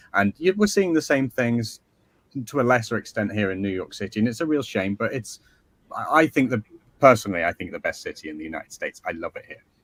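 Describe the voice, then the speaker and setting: A man's medium-pitched voice with an English accent, very fast, with very wide pitch swings and big swings in loudness, in a dry, close sound with no echo. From northern England, near Liverpool. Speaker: author. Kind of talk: interview.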